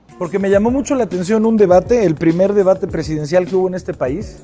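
A man with a high pitch speaks at a fairly quick pace with ordinary pitch variation. Faint music plays in the background. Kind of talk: interview answer. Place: hall. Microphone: lapel.

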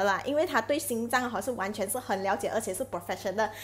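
A woman is speaking. Light background noise is audible. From Malaysia. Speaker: live streamer selling health products; product promoter vlogger. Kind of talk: live stream chat with product promotion. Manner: chatty, many filler particles. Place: home room. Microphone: earbuds.

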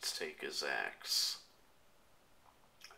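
Very slow pace over light background noise. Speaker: gamer. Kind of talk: casual gameplay commentary. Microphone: phone near.

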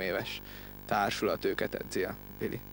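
A man talks over noticeable background noise, and the sound is dry with no echo. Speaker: rugby player-coach. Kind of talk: interview. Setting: outdoors. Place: open country. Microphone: handheld.

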